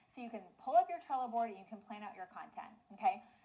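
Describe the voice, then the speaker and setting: Against noticeable background noise, a woman talks fairly quickly at a fairly high pitch with lively intonation. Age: 40s. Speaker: online business coach. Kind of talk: webinar training. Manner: fast; animated.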